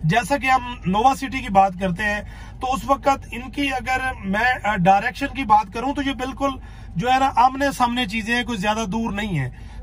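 The speech moves at a moderate pace with few pauses and ordinary pitch variation. Clear background noise can be heard. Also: man, extremely high pitch for a man.

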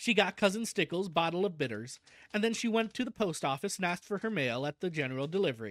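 Someone is reading aloud in a natural voice, with intonation that stays lively.

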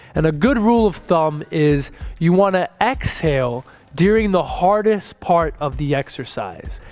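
Faint background music is playing. A man talks at an average speed. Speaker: fitness coach. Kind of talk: tutorial. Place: gym. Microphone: headset.

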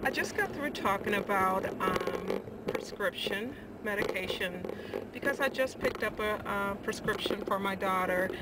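A woman over loud background noise. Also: dry sound with no echo. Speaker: vlogger. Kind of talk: casual vlog chat. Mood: cheerful, laughing. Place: car. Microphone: phone near.

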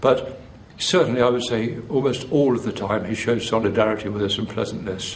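With a Derbyshire accent, a man speaks at a fairly quick pace and medium pitch. His intonation is fairly even, and background noise is noticeable. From Chesterfield, England. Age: 60s. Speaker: retired teacher, activist. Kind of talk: interview answer.

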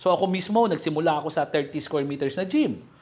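With lively intonation, a man speaks at a high pitch and a fairly quick pace. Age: 40s. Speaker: gym business owner and vlogger. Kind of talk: casual vlog talk. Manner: halting, many fillers.

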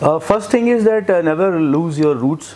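A man speaks with a North Indian accent. He keeps a moderate pace and lively intonation. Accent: Indian English, Hindi belt. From India, Jabalpur, Madhya Pradesh; Madhya Pradesh, India. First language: Hindi. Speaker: film director and author; guest. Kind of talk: interview. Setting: event interview at a literature festival. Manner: halting. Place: studio. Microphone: lapel.

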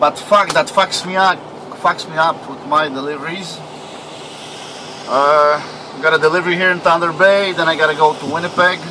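The speaker talks at a moderate pace with fairly even intonation, and noticeable background noise is present. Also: man. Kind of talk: casual vlog chat. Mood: frustrated, swearing. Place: car. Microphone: phone near.

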